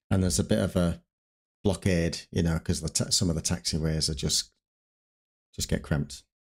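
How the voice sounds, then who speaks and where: A man with a northern English accent and a very deep, low pitch, at a moderate pace, on a very clean recording with a silent background. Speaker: streamer playing an air traffic controller. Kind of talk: simulated ATC radio calls mixed with casual stream chat. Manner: radio phraseology, crisp and formal on frequency.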